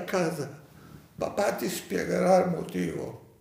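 At a very slow pace, a man speaks with audible room echo. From Rhodes, Greece (Dodecanese). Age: 90s. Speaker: Holocaust survivor. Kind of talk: testimony.

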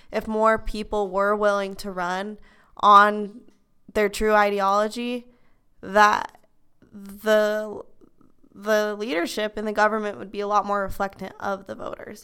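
Her voice is medium in pitch and bright and sharp in tone, with an American accent, monotone, flat intonation, big swings in loudness, and a fairly slow pace broken by long, frequent pauses. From Utah, US. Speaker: university student. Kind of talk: casual chat. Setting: library study room.

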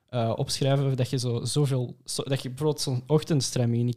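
On a very clean recording with a silent background, a man with a dark, mellow, somewhat breathy tone speaks at a medium pitch and moderate pace in a monotone, flat way. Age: 20s. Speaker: engineering student. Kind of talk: casual chat.

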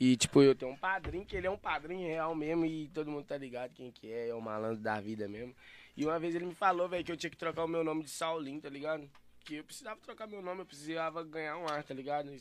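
Very fast speech from a man with fairly high pitch and ordinary pitch variation. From Santa Luzia, Minas Gerais, Brazil. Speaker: rapper. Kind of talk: casual chat.

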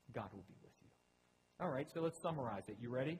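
Somewhat breathy and lively in intonation, a man's voice carries the speech. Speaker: pastor. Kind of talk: sermon.

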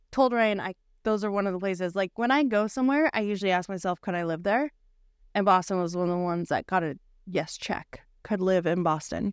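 In an American accent, a woman speaks at a fairly quick pace with a medium pitch and ordinary pitch variation. The sound is dry and close with no echo, and the background is quiet. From Bothell, Washington, US Pacific Northwest. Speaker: podcast co-host. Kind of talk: casual chat.

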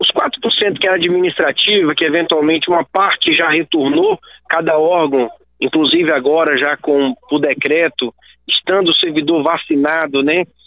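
Delivered in a normal speaking voice, the speech moves at a moderate pace with fairly even intonation and very even loudness. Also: man, fairly high pitch for a man. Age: 30s. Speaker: state government secretary. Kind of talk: radio interview.

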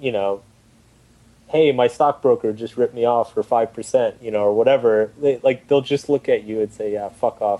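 A man talks at a moderate pace with an American accent. He has an ordinary speaking voice with ordinary pitch variation. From Texas, Austin. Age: 30s. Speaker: writer and blogger. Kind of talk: casual chat.

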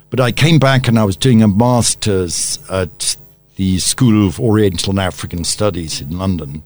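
Speaking at a moderate pace with a British accent, a man has a fairly low pitch and lively intonation. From born in Tanzania to a British colonial family, raised in Uganda. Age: 70s. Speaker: media executive and former journalist. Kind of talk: radio interview. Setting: studio.

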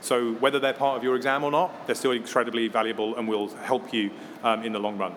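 A man rattles along at a very fast pace with fairly even intonation amid noticeable background noise. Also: medium pitch for a man. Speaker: technology company education director, panellist. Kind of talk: panel discussion.

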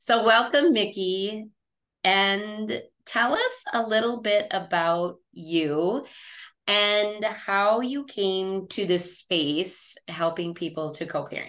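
The speech unfolds at a very slow pace with ordinary pitch variation over a quiet background. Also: woman, medium pitch for a woman. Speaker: podcast host. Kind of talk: podcast interview.

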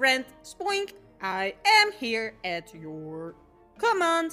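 A female-sounding, robotic put-on character voice speaks very slowly at a high pitch with very wide pitch swings, with faint music in the background. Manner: stiff, mechanical.

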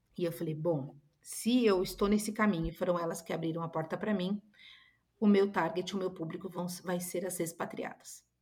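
Her voice is somewhat breathy. This woman keeps a fairly even intonation. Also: fairly low pitch for a woman, moderate pace. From Brazil. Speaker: image consultant. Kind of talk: podcast interview.

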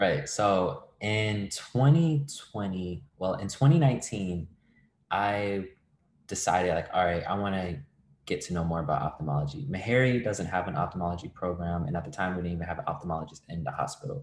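A man with a very deep, low pitch and an American accent, at a moderate pace. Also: lively intonation. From Virginia. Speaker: medical student. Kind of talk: interview.

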